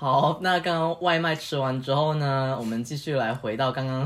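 This man has an unremarkable speaking voice with a fairly high pitch. His intonation stays fairly even. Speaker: guest host, friend of the host. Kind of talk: casual chat. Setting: home apartment studio, face to face.

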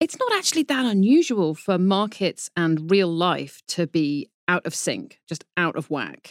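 Speaking at a fairly slow pace, a woman with a British accent and medium pitch sounds animated, with lively intonation. She leaves hardly any pauses, and the sound is dry and close with no echo. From Britain. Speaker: financial journalist, markets editor. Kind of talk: explanatory interview discussion. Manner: animated, laughs while talking.

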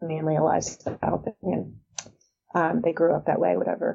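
This woman speaks with a Californian accent. Her pace is fairly quick. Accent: Californian American. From San Diego, California. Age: 50s. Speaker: author. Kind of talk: interview.

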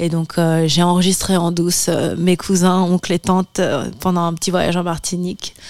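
The delivery is monotone and flat at a moderate pace, in a very clean recording with a silent background. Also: woman, fairly low pitch for a woman. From France, Martinican family. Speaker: musician. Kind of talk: interview.

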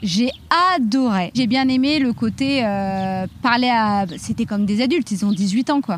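A somewhat breathy woman speaks at a fairly high pitch and a fairly slow pace. Her loudness stays very even, with ordinary pitch variation. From France, Reims area. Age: 30s. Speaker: professional boxer and teacher trainer. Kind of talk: podcast testimony.

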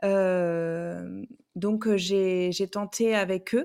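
On a very clean recording with a silent background, a woman speaks at a medium pitch with a dark, mellow tone and fairly even intonation. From southwestern France, Bordeaux. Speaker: romance novelist and hairdresser. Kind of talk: interview. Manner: hesitant, many fillers.

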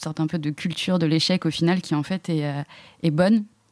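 Dry and close with no echo in a very clean recording against a silent background, a woman speaks at a moderate pace in a dark, mellow, fairly low voice with monotone, flat intonation. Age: 20s. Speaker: student entrepreneur. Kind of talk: interview, asking questions. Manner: hesitant, many fillers.

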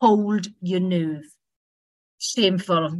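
A woman speaks at a very slow pace, somewhat breathy, with ordinary pitch variation. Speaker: MP. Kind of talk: rally speech.

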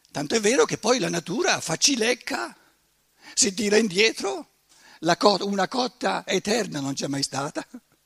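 Speaking at a fairly slow pace with long, frequent pauses, a man uses a high pitch with very wide pitch swings in a dry, close sound with no echo. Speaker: lecturer, author. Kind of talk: lecture.

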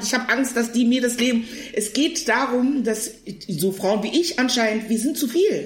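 Ordinary pitch variation at a moderate pace. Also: woman. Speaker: actress and comedian. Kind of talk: casual chat. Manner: loud.

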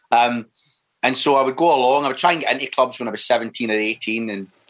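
A man talks with a Glaswegian accent at a moderate pace. His medium-pitched voice keeps a fairly even intonation. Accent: Glaswegian Scottish. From Scotland, Clydebank area near Glasgow. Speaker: actor. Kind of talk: casual interview chat. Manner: halting, with repeated words and fillers.

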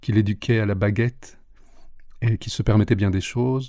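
A dark, mellow, somewhat breathy voice with monotone, flat intonation. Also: man. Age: 50s. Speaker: singer and English teacher. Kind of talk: interview. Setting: studio.

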